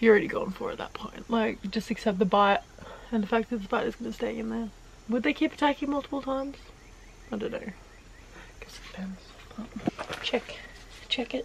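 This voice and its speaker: A woman talks at a fairly quick pace with ordinary pitch variation and big swings in loudness over light background noise. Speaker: vlogger. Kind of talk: casual vlog chat. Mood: joking, playful. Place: open country. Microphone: phone near.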